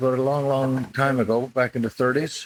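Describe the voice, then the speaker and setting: With a Newfoundland accent, a man of medium pitch talks at a fairly quick pace on a very clean recording with a silent background. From Newfoundland, St. John's. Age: 70s. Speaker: retired curler and coach. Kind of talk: interview conversation.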